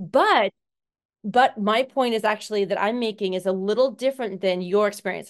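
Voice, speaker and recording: A woman speaks in an American accent at a moderate pace. She has an unremarkable speaking voice with ordinary pitch variation. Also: fairly high pitch for a woman. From Seattle, Washington, US. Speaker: obstacle course racing athlete. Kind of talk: casual interview chat.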